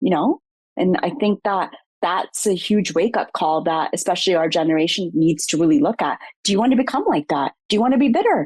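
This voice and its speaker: A woman talks fairly quickly at a medium pitch, her voice swinging very widely up and down. Her loudness stays very even, and the sound is dry and close with no echo. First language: Punjabi. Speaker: psychotherapist. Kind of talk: interview.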